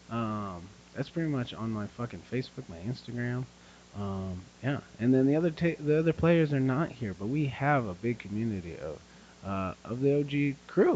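A man with a plain, everyday voice speaks at medium pitch. His pace is moderate and his intonation lively. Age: 30s. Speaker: podcast co-host, strongman competitor. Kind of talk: casual chat.

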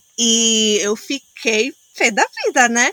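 This woman's voice sits fairly high, with ordinary pitch variation. The sound is dry and close with no echo, though background noise is noticeable. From Angola, Luanda. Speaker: social entrepreneur. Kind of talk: casual interview chat.

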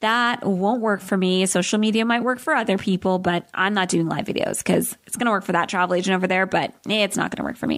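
A woman with an upbeat, warm tone and medium pitch speaks very fast, with hardly any pauses and ordinary pitch variation. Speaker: podcast host and travel business coach. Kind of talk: solo podcast talk. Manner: fast talker; upbeat, warm, animated.

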